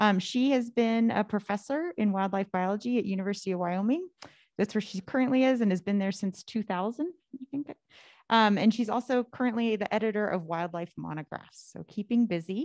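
Speaking at a fairly quick pace, a woman with a fairly high pitch and an unremarkable speaking voice uses ordinary pitch variation, recorded with a dry, close sound with no echo against a quiet background. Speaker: academic seminar host. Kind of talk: speaker introduction. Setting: stage with audience.

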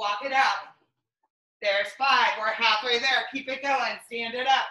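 The speech comes at a fairly slow pace with fairly even intonation. Audible room echo surrounds it. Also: woman. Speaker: fitness instructor. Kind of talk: live exercise class, cueing moves and counting down reps to a follower. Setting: video workout at home, morning session. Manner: encouraging and friendly, warm sign-offs. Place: home room.

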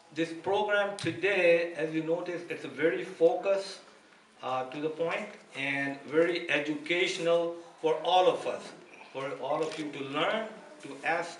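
Light background noise and audible room echo surround the voice. It belongs to a man with a high pitch. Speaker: event host. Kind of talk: announcements to an audience. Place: hall. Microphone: podium.

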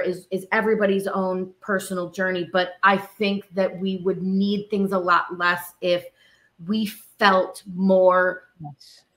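Here is a woman's voice. Her tone is bright and sharp. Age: 30s. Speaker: actor and musician; actor. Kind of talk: interview conversation. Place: home room.

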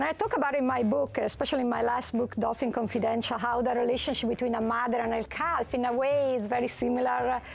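A woman talks very fast in an Italian accent with hardly any pauses. Her pitch is high and her loudness very even. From Italy. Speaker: marine biologist. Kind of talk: TV talk show interview. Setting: TV studio. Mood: earnest storytelling. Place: studio.

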